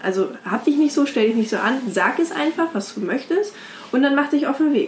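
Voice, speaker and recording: A woman with lively intonation speaks at a fairly quick pace while noticeable background noise plays. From Brandenburg, Germany. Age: 20s. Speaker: women's platform founder. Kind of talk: interview.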